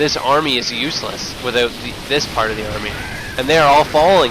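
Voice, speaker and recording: A man's fairly high voice, animated in tone at a fairly quick pace, with audible room echo and noticeable background noise. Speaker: game commentator. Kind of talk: live commentary.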